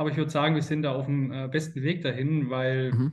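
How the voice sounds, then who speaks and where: This is an unremarkable speaking voice with fairly even intonation, delivered at a moderate pace. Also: man. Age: 30s. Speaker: sales consultant. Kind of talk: interview.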